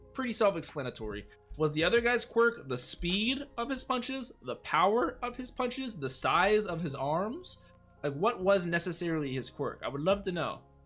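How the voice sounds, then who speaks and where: Over music in the background, a man with a high pitch talks at a moderate pace, his pitch swinging very widely. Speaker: anime reaction youtuber. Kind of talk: reaction commentary. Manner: stuttering, rambling excited.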